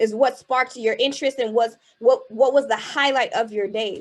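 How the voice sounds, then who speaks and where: A woman's high-pitched, animated voice in a Haitian accent, at a fairly quick pace. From US Northeast, Boston, Haitian American family. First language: Haitian Creole. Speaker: keynote speaker and spoken word artist. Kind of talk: motivational keynote speech. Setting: virtual event, video call. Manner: animated, rhetorical.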